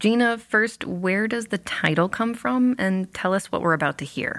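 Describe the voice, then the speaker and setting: A normal speaking voice at a moderate pace on a very clean recording with a silent background. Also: woman. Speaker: radio host. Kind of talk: interview. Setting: studio.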